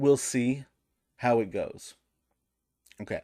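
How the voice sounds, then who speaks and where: A man's medium-pitched voice at a fairly slow pace, on a very clean recording with a silent background. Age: 30s. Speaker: gaming youtuber. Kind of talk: casual chat, reading comments aloud.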